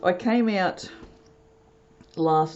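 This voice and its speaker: Over noticeable background noise, the woman's voice shows ordinary pitch variation. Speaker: soap maker. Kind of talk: tutorial. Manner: casual, animated.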